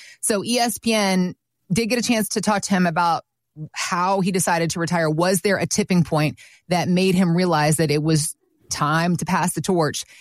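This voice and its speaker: On a very clean recording with a silent background, a woman with an unremarkable speaking voice talks at a moderate pace, fairly low in pitch, with ordinary pitch variation. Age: 40s. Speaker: radio co-host. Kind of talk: casual chat.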